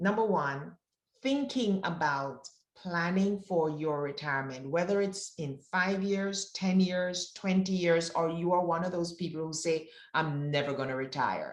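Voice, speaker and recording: Speaking at a fairly slow pace, a woman with a fairly low pitch uses lively intonation. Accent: Jamaican. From Jamaica. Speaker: wealth advisor. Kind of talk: presentation.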